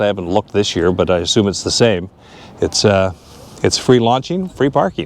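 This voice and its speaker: Here a man talks at a fairly quick pace with a fairly low pitch. Noticeable background noise sits behind him. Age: 60s. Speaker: vlogger. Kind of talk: casual vlog narration. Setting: outdoors.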